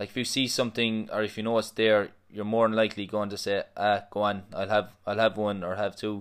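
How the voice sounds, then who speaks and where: On a very clean recording with a silent background, a man with an Irish accent speaks at a fairly quick pace and fairly low pitch, in a monotone, flat intonation with hardly any pauses. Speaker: personal trainer. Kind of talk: casual chat. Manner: joking, banter.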